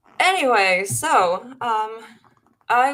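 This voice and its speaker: A woman with a Finnish accent. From Finland. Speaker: paranormal live stream host. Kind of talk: casual chat. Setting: live stream. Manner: halting.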